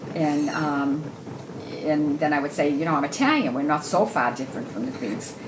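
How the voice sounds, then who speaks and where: A woman with a very deep, low pitch and ordinary pitch variation speaks at a moderate pace, with audible room echo and noticeable background noise. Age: 70s. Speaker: widow. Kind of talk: casual chat. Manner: halting.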